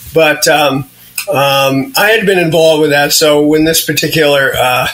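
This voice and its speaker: Noticeable background noise sits behind the voice. A man speaks at a fairly high pitch. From New England. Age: 70s. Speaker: veteran mountain rescuer. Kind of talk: interview.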